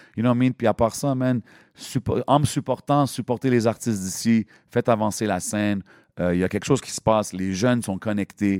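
A man talks at a fairly quick pace in a dry, close recording with no echo, very clean with a silent background. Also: medium pitch for a man, ordinary pitch variation. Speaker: hip-hop MC and event host. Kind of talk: casual interview chat. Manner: animated.

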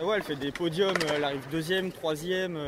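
With music in the background, a man talks at a high pitch and a fairly quick pace, his intonation fairly even. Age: 20s. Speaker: skateboarder. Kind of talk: casual interview. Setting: outdoors.

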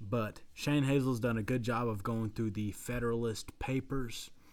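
This man talks at a fairly slow pace with a Southern US accent and a medium pitch. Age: 20s. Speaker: podcast co-host. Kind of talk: casual chat.

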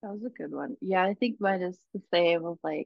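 A woman talks at a moderate pace in a medium pitch with ordinary pitch variation. It is a normal speaking voice. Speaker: college student podcast co-host. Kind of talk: casual chat.

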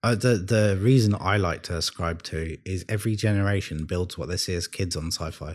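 On a very clean recording with a silent background, a man with a London accent talks at a fairly quick pace in a very deep, low pitch with ordinary pitch variation. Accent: British (London). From London, England. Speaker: podcast guest. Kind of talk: casual chat.

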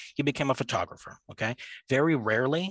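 With a plain, everyday voice and a Canadian accent, a man talks at a fairly quick pace with ordinary pitch variation, in a dry, close sound with no echo over a quiet background. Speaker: university student. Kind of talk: casual chat.

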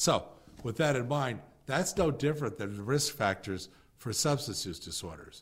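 There is vocal fry in this man's voice. His pitch is fairly high, and his intonation is lively. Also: moderate pace. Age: 60s. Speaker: podcast host and mental health coach. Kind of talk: instructional walkthrough of a curriculum manual. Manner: halting, frequent fillers and restarts.

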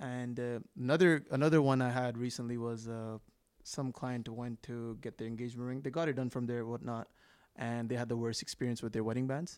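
At medium pitch, a man with an unremarkable speaking voice talks at a fairly quick pace and fairly even intonation on a very clean recording with a silent background. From Canada (GTA), partly raised in India. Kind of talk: casual chat.

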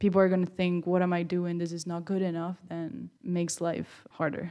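Speaking at a moderate pace with a Spanish accent, this voice stays monotone and flat in intonation on a very clean recording with a silent background. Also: woman. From Spain. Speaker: college student and small business owner. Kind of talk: interview.

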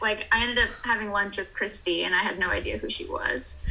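A woman talks at a moderate speed while background noise is noticeable. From Hawaii. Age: 20s. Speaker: schoolteacher and dancer. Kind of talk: casual interview. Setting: video call.

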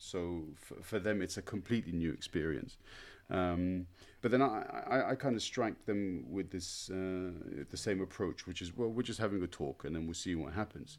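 A man with a British accent talks at a moderate pace in a very deep, low voice with ordinary pitch variation. The recording is very clean, with a silent background. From Britain. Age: 40s. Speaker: podcast host and language teacher. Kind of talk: casual interview. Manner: halting, many fillers.

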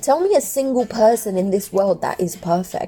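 Noticeable background noise sits behind a woman with a fairly high pitch. She moves at a moderate pace with lively intonation. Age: 30s. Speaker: podcaster. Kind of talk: personal monologue. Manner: casual.

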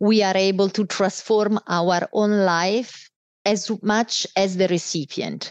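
A woman speaks at a medium pitch with an Italian accent. The sound is dry and close with no echo, over a quiet background. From Italy. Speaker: business executive. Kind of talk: casual interview.

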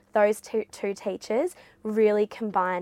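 Speaking at a fairly slow pace with an Australian accent, a woman keeps fairly even intonation in a very clean recording with a silent background and a dry, close sound with no echo. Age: 20s. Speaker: former school captain, university student. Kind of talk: interview.

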